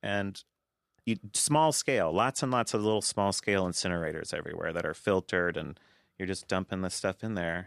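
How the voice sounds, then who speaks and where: This man has an ordinary speaking voice with fairly low pitch, ordinary pitch variation and a fairly quick pace. The recording is dry, close and very clean, with no echo and a silent background. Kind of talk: casual chat.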